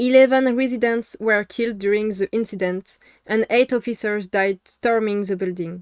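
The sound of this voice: Someone reads in an unforced voice.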